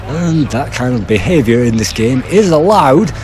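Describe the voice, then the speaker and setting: With music in the background, a man talks in very wide pitch swings. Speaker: game reviewer. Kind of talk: video game review narration. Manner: loud.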